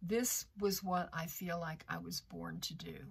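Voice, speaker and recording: At a very slow pace, a woman with an American accent speaks in a somewhat breathy voice with a fairly low pitch. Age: 70s. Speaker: tarot content creator. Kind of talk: personal testimony. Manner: halting, with fillers and repeats.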